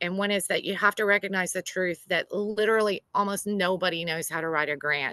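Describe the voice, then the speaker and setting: At a moderate pace and medium pitch, a woman in a Southern US accent speaks with a bright, sharp tone and fairly even intonation, the sound dry and close with no echo over a quiet background. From US South. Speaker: grant writer. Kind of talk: workshop presentation.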